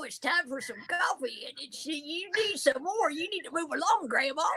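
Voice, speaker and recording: A woman puts on a character voice with an extremely high pitch, talking at a moderate pace over light background noise. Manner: dismissive, telling her to move along.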